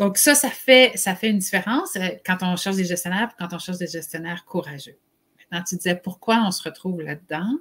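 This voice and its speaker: A woman with an unremarkable speaking voice, medium pitch and ordinary pitch variation talks at a fairly quick pace. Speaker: HR consultant and live show host. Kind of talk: live webcast discussion.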